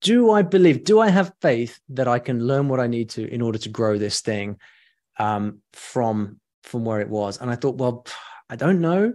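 A man with a British accent speaks at a moderate pace and medium pitch. His intonation is lively, and the background is quiet. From UK. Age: middle-aged. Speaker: online education entrepreneur. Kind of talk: interview.

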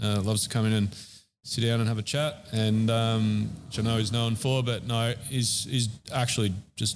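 A fairly low-pitched man with an Australian accent, at a fairly quick pace. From Australia, Central Coast NSW. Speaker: chef and barbecue shop owner. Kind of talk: casual interview. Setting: in a shop during opening weekend.

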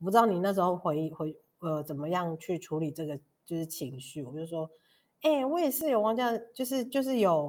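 A very clean recording with a silent background: an ordinary speaking voice at a fairly quick pace. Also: woman. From Taiwan, Pingtung (Paiwan). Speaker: podcast host. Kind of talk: interview conversation.

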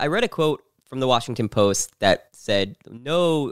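A man with an American accent speaks in a medium pitch with ordinary pitch variation, an ordinary speaking voice. The recording is very clean with a silent background, dry and close with no echo. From New Jersey. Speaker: podcast host. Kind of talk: interview.

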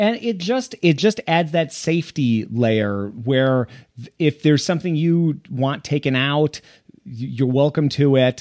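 In an ordinary speaking voice, a man talks at a fairly slow pace with lively intonation, a fairly high pitch and very even loudness, in a dry, close sound with no echo. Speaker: podcast host, double bass player. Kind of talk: casual interview chat.

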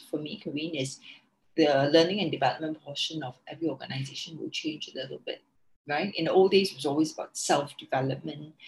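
A woman's somewhat breathy voice sits at a fairly low pitch. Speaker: founder of a working mothers network. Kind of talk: interview. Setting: remote call.

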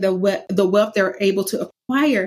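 The speaker is a woman. Her intonation is lively. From US South. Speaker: anti-racism curriculum specialist and author. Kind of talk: interview. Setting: video call.

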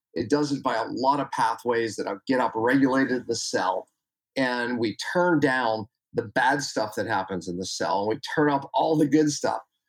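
At medium pitch and a moderate pace, a man talks in a plain, everyday voice with ordinary pitch variation. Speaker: chiropractor and health educator. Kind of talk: podcast interview.

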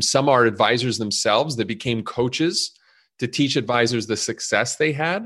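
This man has an ordinary speaking voice at a medium pitch. His pitch varies in an ordinary way, and he talks at a moderate pace. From Montreal, Canada. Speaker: startup CEO, e-learning platform. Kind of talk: casual interview.

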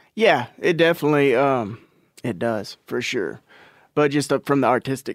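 A man with a Southern US accent speaks fairly high at a moderate pace. The recording is very clean with a silent background, the sound dry and close with no echo. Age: 30s. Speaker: country rock musician. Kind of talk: casual chat.

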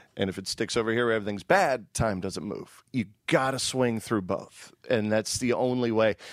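A man speaks in a plain, everyday voice at a medium pitch, with ordinary pitch variation and a moderate pace. The recording is very clean and dry, close-miked with no echo and a silent background. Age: 40s. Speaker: radio host. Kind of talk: casual interview chat.

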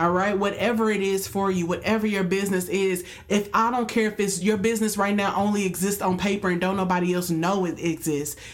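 A woman with a medium pitch talks at a fairly quick pace with hardly any pauses, monotone, flat intonation and very even loudness, amid audible room echo and noticeable background noise. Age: young. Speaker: podcast co-host, teacher. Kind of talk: casual chat.

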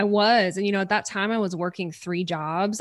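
With an animated tone, a woman speaks in a Southern US accent on a very clean recording with a silent background. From Louisiana, US South. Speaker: podcast host and business coach. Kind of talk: casual interview chat. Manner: animated, excitable.

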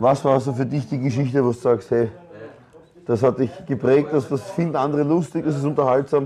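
Talking at a fairly quick pace, a man with an ordinary speaking voice and fairly high pitch uses ordinary pitch variation. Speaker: podcast host. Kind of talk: casual chat. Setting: sports ground canteen.

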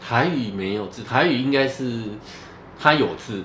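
A man's very slow speech is heard with audible room echo and noticeable background noise. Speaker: podcast co-host, Taiwanese speaker. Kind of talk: casual bilingual chat.

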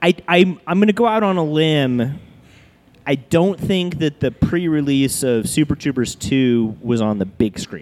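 A plain, everyday voice belongs to this man, pitched fairly high with lively intonation. He speaks at a fairly slow pace. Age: 30s. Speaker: brewery owner and bartender. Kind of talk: casual chat. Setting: live show recorded in a brewery bar.

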